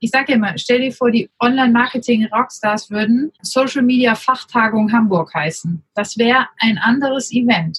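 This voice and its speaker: The woman's pitch varies in an ordinary way as she talks at a moderate pace. Her sound is dry and close, with no echo. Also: fairly high pitch for a woman, hardly any pauses. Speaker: startup co-founder, social media agency. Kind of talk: casual interview. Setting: remote recording.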